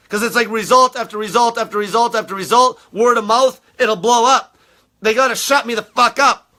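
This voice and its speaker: A man with an extremely high pitch raises and projects his voice, talking fairly quickly in a bright, sharp, animated tone. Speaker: diet coach. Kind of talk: rant. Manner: aggressive.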